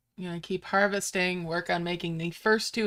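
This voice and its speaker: A woman's medium-pitched, bright and sharp voice with a slight New York accent, relaxed in tone and fairly slow, with ordinary pitch variation, on a very clean recording with a silent background. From Upstate New York. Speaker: gaming streamer. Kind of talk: live gameplay stream chat. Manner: casual, relaxed.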